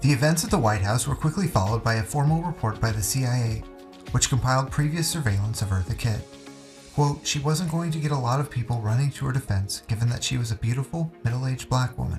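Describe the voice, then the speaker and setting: Music plays in the background while a man with a medium pitch speaks at a very fast pace. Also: ordinary pitch variation. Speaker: narrator. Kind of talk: documentary narration. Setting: studio.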